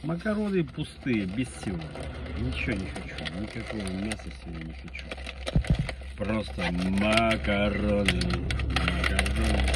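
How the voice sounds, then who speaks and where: A man speaking at a fairly slow pace with long, frequent pauses, over loud background noise. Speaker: vlogger. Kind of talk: casual vlog chat. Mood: grumpy, irritated. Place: car. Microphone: phone near.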